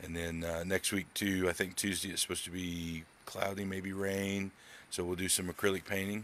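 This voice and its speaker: The speech is monotone and flat, delivered at a fairly quick pace. The sound is dry with no echo, over light background noise. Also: man. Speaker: art teacher. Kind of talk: casual live-stream lesson intro. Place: home room. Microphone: phone near.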